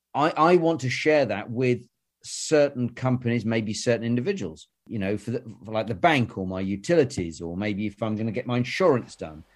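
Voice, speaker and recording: A man speaks at a moderate pace with a British accent, his pitch in the medium range. His intonation is lively, and the recording is very clean with a silent background. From southern England. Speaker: newsletter host and interviewer. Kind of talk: casual interview.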